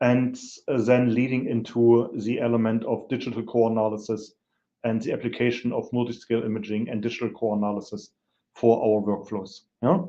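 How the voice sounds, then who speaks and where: Audible room echo surrounds a voice of dark, mellow tone moving at a fairly quick pace with fairly even intonation. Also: man, medium pitch for a man. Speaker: petroleum industry specialist. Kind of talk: lecture. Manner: hesitant, many fillers.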